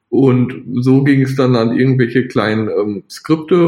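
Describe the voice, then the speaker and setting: A man talks at a medium pitch with ordinary pitch variation. It is a normal speaking voice. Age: 20s. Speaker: software developer. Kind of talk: interview.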